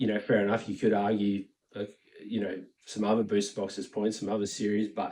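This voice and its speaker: A man speaks with an Australian accent. His pitch is fairly low. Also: very clean recording, silent background. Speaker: Pokemon card collector and YouTuber. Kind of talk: casual commentary monologue. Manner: casual, many filler words.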